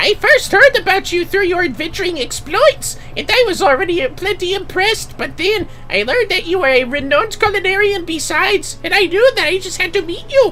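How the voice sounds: A put-on character voice speaks at an extremely high pitch and a fairly quick pace. There are hardly any pauses, with clear background noise behind it.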